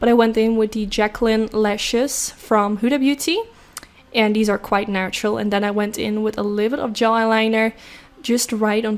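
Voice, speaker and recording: A woman with a fairly high voice talks while noticeable background noise sounds behind her. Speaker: beauty vlogger. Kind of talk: makeup tutorial voiceover. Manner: fast; enthusiastic.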